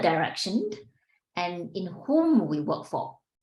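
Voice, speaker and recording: A somewhat breathy woman with a Singaporean accent, fairly slow, with very wide pitch swings. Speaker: executive coach and podcast host. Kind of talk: interview.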